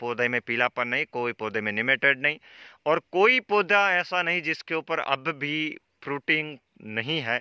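Very slowly, a man speaks over a quiet background, the sound dry with no echo. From Rajasthan, Jodhpur district; Rajasthan, India. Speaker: farming video host. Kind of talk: field interview on a farm. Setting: outdoors in an orchard. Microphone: phone near.

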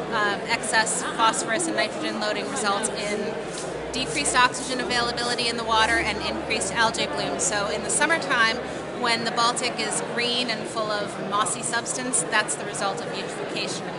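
Loud background noise fills the space as someone talks at a fairly quick pace. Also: woman. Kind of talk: interview answer. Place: hall. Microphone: phone near.

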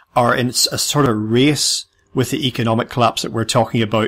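A man speaks with a British accent. His pace is fairly quick, and his pitch varies in an ordinary way. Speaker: podcast host. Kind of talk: interview.

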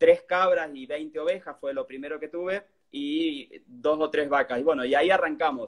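Against a quiet background, a man with a fairly high voice speaks at a moderate pace with fairly even intonation and big swings in loudness. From Argentina. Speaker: cheesemaker and cook; interviewee. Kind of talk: casual chat. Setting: live stream video. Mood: relaxed, friendly. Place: home room. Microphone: phone near.

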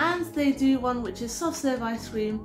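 Clear music plays behind a woman speaking at a moderate pace with ordinary pitch variation. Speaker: cooking channel host. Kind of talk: casual vlog chat. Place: home room. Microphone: camera far.

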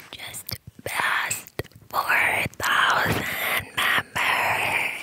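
The pace is very slow. A woman speaks in a whisper. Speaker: ASMR channel host. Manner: deep whisper behind a cupped hand. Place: home room. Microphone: studio mic.

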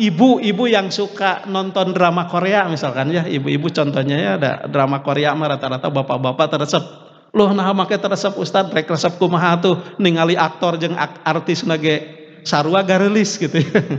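A man's high voice at a moderate pace, with ordinary pitch variation and a quiet background. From West Java. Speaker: Islamic preacher. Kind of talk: sermon. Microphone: podium.

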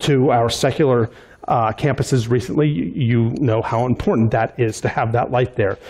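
Moderate pace from a male speaker. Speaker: pastor. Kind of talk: church announcements. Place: church.

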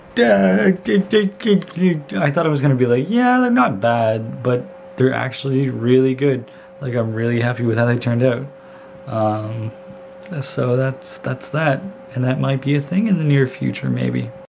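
Over music in the background, a man speaks at a fairly slow pace with lively intonation. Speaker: daily vlogger. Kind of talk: casual vlog chat. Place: home room. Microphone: phone near.

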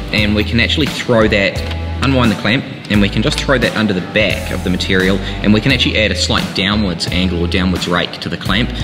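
Clear music plays in the background. Over it, a man speaks at a fairly quick pace in a very deep, low pitch. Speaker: presenter. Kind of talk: tutorial. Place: workshop.

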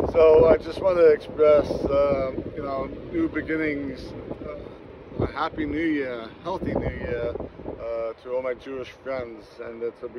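This man speaks at a fairly slow pace. The sound is dry with no echo, and there is noticeable background noise. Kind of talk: casual holiday greeting vlog. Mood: warm, grateful. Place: beach. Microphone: phone near.

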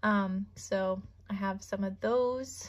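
The speaker is a woman with a somewhat breathy voice. Her intonation stays fairly even. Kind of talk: casual vlog chat. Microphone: phone near.

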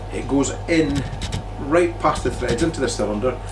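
A man talks at a moderate pace with clear music playing in the background. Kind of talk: tutorial. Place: workshop. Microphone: camera far.

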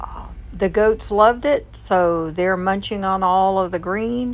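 A woman's very slow pace. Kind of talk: casual vlog chat. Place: car. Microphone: phone near.

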